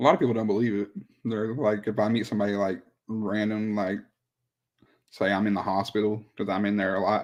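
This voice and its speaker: A fairly quick pace with long, frequent pauses, in an Oklahoma accent, over a quiet background. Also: man, fairly low pitch for a man. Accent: Oklahoma country. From Southern Oklahoma. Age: 20s. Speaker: rapper. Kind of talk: interview. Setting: live stream.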